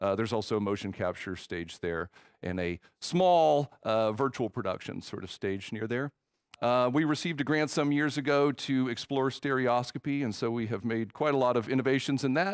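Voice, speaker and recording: Speaking with a Texan accent, a man uses a medium pitch at a moderate pace. The recording is very clean with a silent background and a dry, close sound with no echo. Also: lively intonation. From Texas. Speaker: film professor. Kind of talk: conference talk. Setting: stage with audience. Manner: halting, many fillers.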